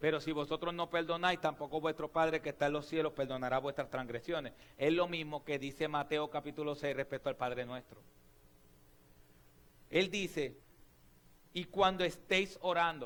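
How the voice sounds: With a clear, smooth and fairly bright tone, a man speaks at a moderate pace, with fairly high pitch and fairly even intonation.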